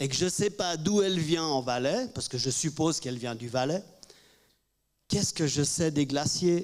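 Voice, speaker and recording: A man's high voice, fairly slow in pace, with ordinary pitch variation. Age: 60s. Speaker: panelist. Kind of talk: press conference Q&A. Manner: halting.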